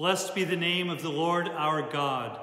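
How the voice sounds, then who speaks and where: Audible room echo carries a man's high-pitched voice, delivered in a solemn tone. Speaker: church service leader. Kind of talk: liturgical prayer, Good Friday worship. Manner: solemn, fervent, slow and heartfelt. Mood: solemn, reverent. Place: church. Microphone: phone near.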